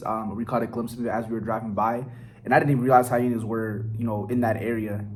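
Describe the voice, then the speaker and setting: Delivered in a flat monotone at a very fast clip, this voice speaks with an American accent. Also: man, medium pitch for a man. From Silver Spring, Maryland, USA. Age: 20s. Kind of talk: casual vlog talk to camera.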